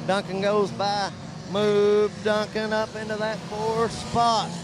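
At a fairly slow pace, a man talks through noticeable background noise. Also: dry sound with no echo. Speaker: race commentator. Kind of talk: commentary. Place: stadium.

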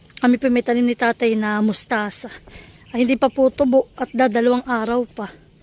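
The delivery comes at a moderate pace with monotone, flat intonation and a dry, close sound with no echo. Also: woman. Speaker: farming vlogger. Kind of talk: casual vlog narration. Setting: outdoors at a farm.

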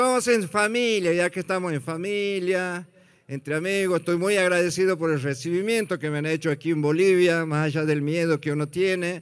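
This man has a high pitch and an animated tone. He keeps a moderate pace with ordinary pitch variation. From Argentina, Santiago del Estero; Argentina. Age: 60s. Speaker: comedian. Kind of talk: stand-up. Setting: stage with audience. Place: stage. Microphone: handheld.

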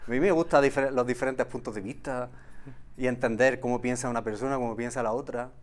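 At a very fast pace, a man talks with medium pitch. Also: fairly even intonation. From Andalusia, Villanueva del Arzobispo area, Jaén; Andalusia, Spain. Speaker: olive farmer and former local politician; guest. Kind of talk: casual interview. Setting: TV studio. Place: studio. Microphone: lapel.

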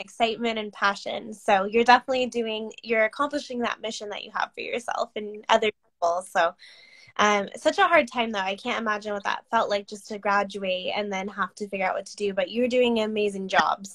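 Over a quiet background, a woman speaks in a fairly high pitch at a fairly quick pace with ordinary pitch variation. Her loudness swings widely. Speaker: business coach. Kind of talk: casual interview. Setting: video call. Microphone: webcam.

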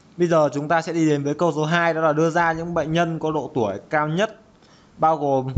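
Against noticeable background noise, the speaker moves at a fairly quick pace with ordinary pitch variation. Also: man. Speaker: programming tutor. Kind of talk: tutorial. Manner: casual.

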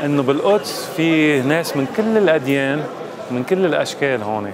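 With lively intonation and a fairly high pitch, a man talks over noticeable background noise. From United States (Florida). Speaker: diplomat. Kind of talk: casual talk to camera.

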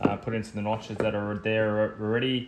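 A man talks with fairly low pitch and little pitch movement.

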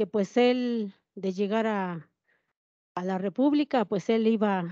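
A woman's dark, mellow tone with ordinary pitch variation, dry with no echo, against a quiet background. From Mexico, Puebla, Cholula region; Puebla, Mexico. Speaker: panelist. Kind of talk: panel discussion. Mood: earnest, determined. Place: hall. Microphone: handheld.

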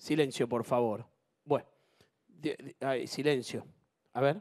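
The delivery is very slow, broken by long, frequent pauses and big swings in loudness. The background stays quiet. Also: man. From Argentina. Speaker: TV game show host. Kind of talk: live TV game show hosting. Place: studio. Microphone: handheld.

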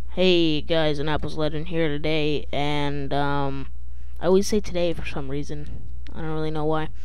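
The speech moves at a moderate pace. The sound is dry, with no echo. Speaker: gaming youtuber. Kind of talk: casual vlog chat.

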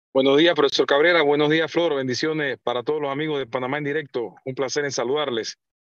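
A man with a fairly high voice talks at a very fast pace, barely pausing, his intonation fairly even. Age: 40s. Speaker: mayor. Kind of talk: radio interview.

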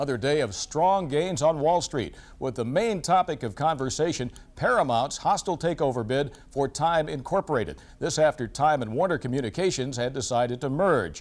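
Speaking at a moderate pace, a man with an unremarkable speaking voice uses lively intonation at a fairly high pitch. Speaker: business reporter. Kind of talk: formal TV newsreading, business report. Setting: TV studio newscast. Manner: formal; brisk, even, professional delivery.

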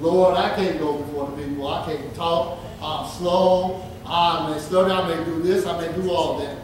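With strong room echo and light background noise, a man speaks in a high pitch at a moderate pace. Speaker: preacher. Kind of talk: sermon. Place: church.

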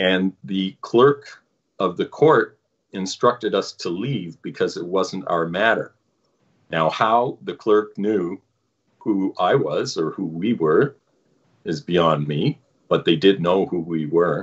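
A man talks at a very slow pace with a Canadian accent. The background is quiet. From Canada. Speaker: activist, former firefighter; interview guest. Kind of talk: interview. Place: home room. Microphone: video call.

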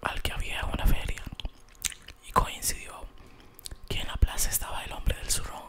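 Whispering, a man speaks at a moderate pace with long, frequent pauses. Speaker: ASMR storyteller. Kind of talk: fairy tale narration. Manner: soft, whispered, relaxing. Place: home room. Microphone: studio mic.

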